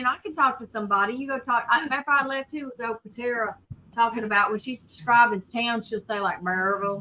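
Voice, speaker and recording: In a Southern US accent, a woman talks at a fairly quick pace with ordinary pitch variation. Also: fairly high pitch for a woman. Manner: words slurred together.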